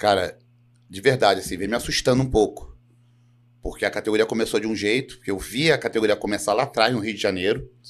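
This man has a fairly low pitch and talks at a very fast pace. His pitch moves in an ordinary way while his loudness swings widely. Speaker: professional bodybuilder. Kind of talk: casual chat.

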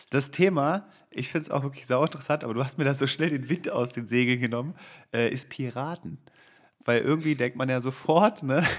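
Speaking at a fairly quick pace with ordinary pitch variation, a man with a fairly high pitch for a man comes through on a very clean recording with a silent background. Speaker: friend and recurring podcast guest. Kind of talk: casual chat.

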